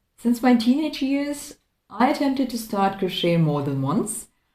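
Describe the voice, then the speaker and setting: A somewhat breathy voice with a non-native accent, very wide pitch swings and a moderate pace. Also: woman. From Croatia. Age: 30s. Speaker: crafting vlogger. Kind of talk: casual chat. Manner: halting.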